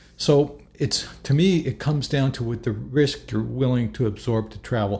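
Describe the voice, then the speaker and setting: In a very clean recording with a silent background, a man speaks at a moderate pace with a medium-pitched, dark, mellow tone. His voice is somewhat breathy and shows ordinary pitch variation. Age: 60s. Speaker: travel vlogger. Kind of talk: casual monologue to camera. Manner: halting, with frequent restarts.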